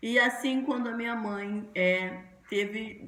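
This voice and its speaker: A woman speaks in a fairly high voice. Her pace is very slow. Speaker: pastor. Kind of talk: sermon.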